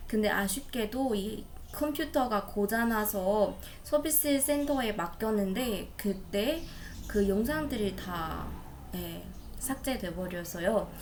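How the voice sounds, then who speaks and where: A woman with a non-native accent speaks at a fairly high pitch and a very slow pace. Her intonation is lively, and audible room echo surrounds her. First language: not Korean (speaking Korean). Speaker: Korean language learner. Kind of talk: practice conversation. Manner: halting.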